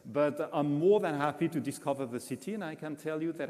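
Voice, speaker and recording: A man's fairly quick speech in a French accent, dark and mellow in tone, with ordinary pitch variation. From France. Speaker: international food guide executive. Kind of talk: press conference Q&A. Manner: halting, many fillers.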